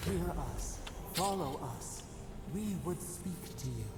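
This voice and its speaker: A put-on character voice at a fairly slow pace, with clear echo and loud background noise. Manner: ominous.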